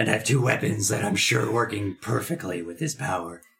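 In a raspy, put-on character voice, a man talks at a fairly low pitch and a fairly quick pace with lively intonation. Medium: actual play. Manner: gruff, brooding.

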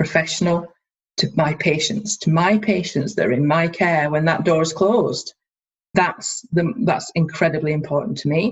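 Fairly slow and somewhat breathy, a woman with a Scottish accent speaks at a fairly low pitch with ordinary pitch variation. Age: 30s. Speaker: dental student and dental therapist. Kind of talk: interview.

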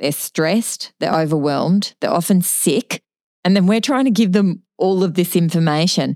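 A woman with an Australian accent at a moderate pace, very even in loudness, in a dry, close sound with no echo. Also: medium pitch for a woman, ordinary pitch variation. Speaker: nursing podcast co-host. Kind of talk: podcast interview.

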